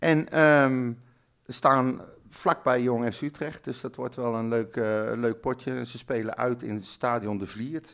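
A man speaks at a medium pitch and a very slow pace with fairly even intonation. The recording is very clean with a silent background. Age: 50s. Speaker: football podcast host. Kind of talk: casual chat.

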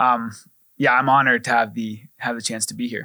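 Delivered at a fairly quick pace, an ordinary speaking voice comes through on a very clean recording with a silent background. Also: man. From Arizona, US. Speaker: ministry staff member. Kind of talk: casual chat.

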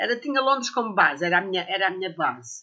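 Her intonation is lively and her pace fairly quick. The woman has a plain, everyday voice. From Portugal, Sintra area. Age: 60s. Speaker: herbalist and botanical author. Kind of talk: casual interview.

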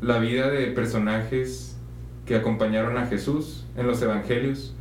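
Fairly slow male speech in a room with audible echo. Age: 20s. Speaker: seminarian. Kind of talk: casual chat.

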